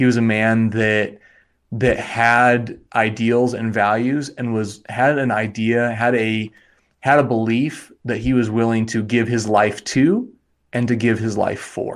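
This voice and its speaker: In a very clean recording with a silent background, a man with an American accent speaks fairly slowly in a monotone, flat tone. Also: medium pitch for a man. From Wyoming, US. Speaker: life coach and therapist. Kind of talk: casual interview.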